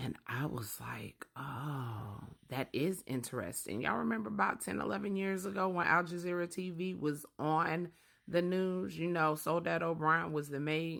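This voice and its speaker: Quiet and at a moderate pace, a woman speaks with a very deep, low pitch and lively intonation. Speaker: social media creator. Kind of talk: casual vlog monologue. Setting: at home with sleeping babies. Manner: low, quiet voice. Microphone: very close to the mic.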